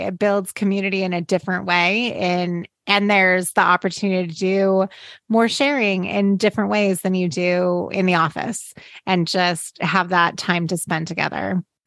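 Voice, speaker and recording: A woman speaks in an unremarkable speaking voice at medium pitch. Her pace is moderate and her pitch varies in an ordinary way. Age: 40s. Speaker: podcast co-host, designer and business partner. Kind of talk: casual chat.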